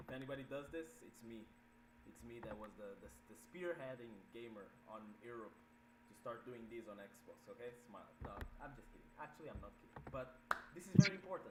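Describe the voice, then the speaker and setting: Noticeable background noise and audible room echo run through the clip. A man speaks fairly quickly, his intonation lively. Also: medium pitch for a man. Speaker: gaming streamer. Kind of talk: tutorial. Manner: fast.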